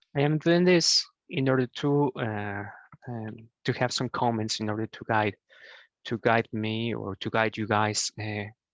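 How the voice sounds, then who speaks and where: This man speaks at a medium pitch in a Spanish accent, with ordinary pitch variation. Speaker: programming tutor. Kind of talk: tutorial. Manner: halting, many fillers.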